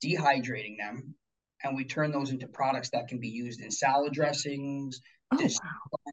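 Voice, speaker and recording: A somewhat breathy male voice at a fairly high pitch, moderate pace, fairly even intonation and big swings in loudness. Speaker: chef and beekeeper. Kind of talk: casual interview. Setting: video call.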